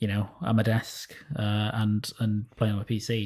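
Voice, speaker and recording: Somewhat breathy and fairly low in pitch, a man speaks on a very clean recording with a silent background. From northern England, Sheffield. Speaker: gaming podcast panelist. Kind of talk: casual chat.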